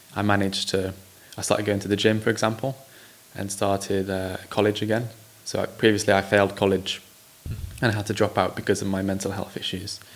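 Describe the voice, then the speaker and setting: Against noticeable background noise, a man with an English accent talks at a very fast pace in monotone, flat intonation, broken by long, frequent pauses. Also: fairly low pitch for a man. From England. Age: 20s. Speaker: social entrepreneur. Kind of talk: interview.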